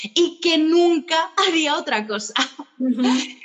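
A woman speaks at a fairly slow pace with ordinary pitch variation as noticeable background noise continues. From Spain. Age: 30s. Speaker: tour guide and entrepreneur. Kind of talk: interview. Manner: energetic, animated.

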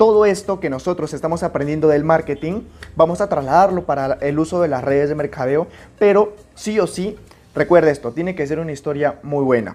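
Here a man talks with a fairly high pitch. His pace is fairly quick and his pitch varies in an ordinary way. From Peru, Amazon region (Puerto Maldonado). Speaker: podcast host, network marketing coach. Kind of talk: motivational tutorial. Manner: animated.

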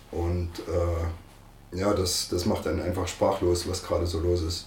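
A man with a very deep, low pitch talks at a moderate pace. His voice is somewhat breathy, with audible room echo. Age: 50s. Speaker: football coach. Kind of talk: interview.

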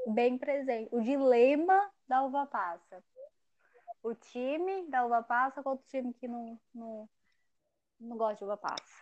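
A woman's high-pitched voice at a fairly slow pace, with ordinary pitch variation, big swings in loudness, and long, frequent pauses, in a dry, close sound with no echo. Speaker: podcast host. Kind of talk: casual chat.

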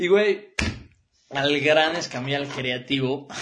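A man speaks with a Mexican accent. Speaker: radio show host. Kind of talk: casual monologue. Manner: animated.

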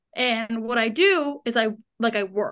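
Loud and with a bright, sharp tone, this woman speaks at a fairly high pitch. The background is quiet. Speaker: co-host guest, sister. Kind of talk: casual chat. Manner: loud, animated.

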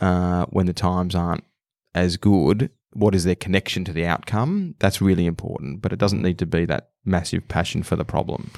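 This man has an Australian accent, a very deep, low pitch and fairly even intonation at a moderate pace. The recording is very clean with a silent background and a dry, close sound with no echo. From Australia, Melbourne. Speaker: venture capitalist. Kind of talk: interview.

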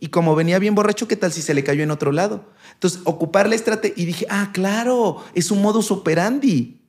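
Fairly quick and high-pitched, a man talks with ordinary pitch variation in a very clean recording with a silent background. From Mexico, Puebla. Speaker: doctor and youtuber. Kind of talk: casual chat.

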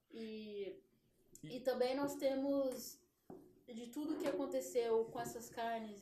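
A woman's dark, mellow voice at a high pitch, at a very slow pace. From São Paulo, Brazil. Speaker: former basketball player and meat shop owner. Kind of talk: interview.

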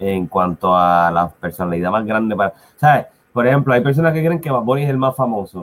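A man at a fairly low pitch and a fairly quick pace, with an ordinary speaking voice. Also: lively intonation. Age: 30s. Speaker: podcast co-host. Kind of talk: casual chat. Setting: live stream.

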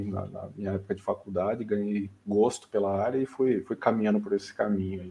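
The man's dark, mellow tone comes at a fairly quick pace. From Brazil, São Paulo state (São Bernardo do Campo). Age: 30s. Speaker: AI specialist, medical physicist. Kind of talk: casual interview chat.

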